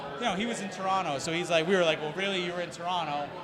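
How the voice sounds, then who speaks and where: A man speaks with an American accent, his voice high for a man. Noticeable background noise and audible room echo surround him. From Springfield, Massachusetts. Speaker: hockey team president. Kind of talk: casual chat. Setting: live show at a brewery.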